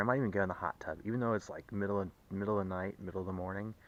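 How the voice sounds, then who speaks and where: A man is speaking. His pitch sits fairly low. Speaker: car enthusiast vlogger. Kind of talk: casual vlog monologue. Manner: fast; excited, repetitive.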